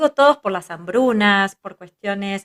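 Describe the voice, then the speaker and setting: A woman talks with ordinary pitch variation. The sound stays dry and close, with no echo. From Israel, raised in a kibbutz by Argentine parents. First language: Hebrew (speaking Spanish). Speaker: psychologist, family constellations teacher. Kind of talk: interview conversation.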